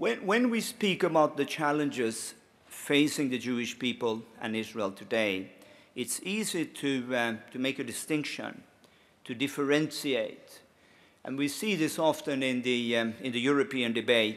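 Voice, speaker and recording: A man talks at a fairly slow pace with a Swedish accent, his pitch medium and its variation ordinary. The recording is very clean, with a silent background. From Finland, Swedish-speaking. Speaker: lobbyist and conference speaker. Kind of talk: conference speech. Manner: hesitant, many fillers.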